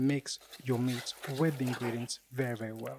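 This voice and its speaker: Over noticeable background noise, a man speaks at a moderate pace with a medium pitch and fairly even intonation. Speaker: home cook, cooking show host. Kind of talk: cooking tutorial voice-over. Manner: casual, jokey.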